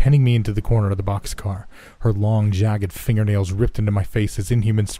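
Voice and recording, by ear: Pitch variation is ordinary. The clip is reading aloud in a natural voice.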